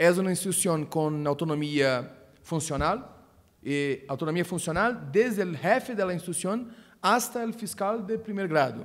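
Very wide pitch swings over a quiet background. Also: man. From Brazil. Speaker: prosecutor; speaker. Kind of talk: conference talk. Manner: halting. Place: meeting room. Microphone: podium.

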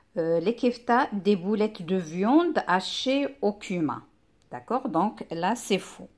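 Very slow speech from a woman at medium pitch, with very wide pitch swings and a quiet background. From Morocco. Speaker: primary school teacher; teacher. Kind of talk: lesson. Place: home room. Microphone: phone near.

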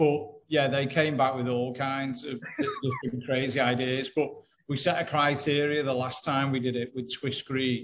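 Over light background noise, a man talks at a moderate pace. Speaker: guest. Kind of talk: interview answer. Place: home room. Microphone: video call.

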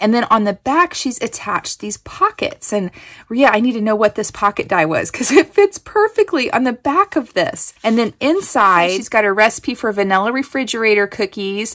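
An animated woman with a fairly high pitch and lively intonation, hardly any pauses, over a quiet background. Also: moderate pace. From Kansas. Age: 40s. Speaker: craft YouTuber. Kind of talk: casual unboxing chat. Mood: delighted, grateful.

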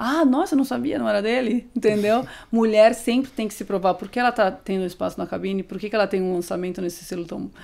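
A woman with a medium-pitched voice talks very fast and with lively intonation, hardly pausing at all. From Brazil, interior of São Paulo state (Amparo); São Paulo state, Brazil. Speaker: DJ; guest. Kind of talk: casual interview. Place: studio. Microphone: studio mic.

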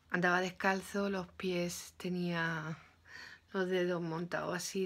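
A woman talks at a fairly slow pace in monotone, flat intonation. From Spain, Málaga; Spain. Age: 40s. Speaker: YouTuber. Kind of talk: opinion vlog monologue. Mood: earnest, emotional storytelling. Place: home room. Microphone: phone near.

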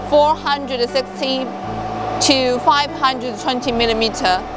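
The woman's voice sounds dry with no echo, and music plays in the background. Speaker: factory product presenter. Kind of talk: product demonstration tutorial. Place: factory. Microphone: lapel.

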